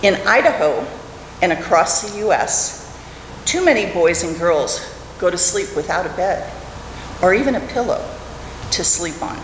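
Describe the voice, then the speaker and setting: A woman speaks at a fairly slow pace, with audible room echo and light background noise. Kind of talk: prepared talk in a service. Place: church. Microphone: podium.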